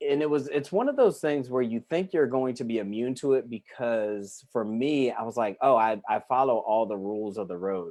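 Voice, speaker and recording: A man with an American accent, medium pitch, a dark, mellow tone, ordinary pitch variation, moderate pace, and hardly any pauses. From Massachusetts and Oklahoma, US military family. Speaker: life coach. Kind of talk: interview. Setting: live stream video call.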